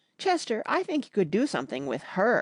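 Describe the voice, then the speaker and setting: A female-sounding voice puts on a shrill character voice at a medium pitch. The pitch swings very widely. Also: moderate pace. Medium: read story. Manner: vigorous, declaring.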